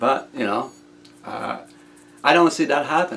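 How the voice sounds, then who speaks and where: A man speaks with a French Canadian accent. His pace is moderate. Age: 60s. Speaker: inventor. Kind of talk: casual video monologue. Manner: halting, many repetitions.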